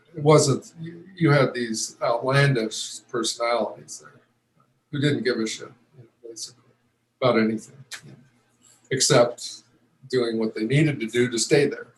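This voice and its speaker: A man speaks at a medium pitch with a somewhat breathy voice. His loudness swings widely, and he takes long, frequent pauses. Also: ordinary pitch variation, moderate pace. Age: 70s. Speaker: retired pro football player. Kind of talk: interview. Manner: halting, many fillers and restarts.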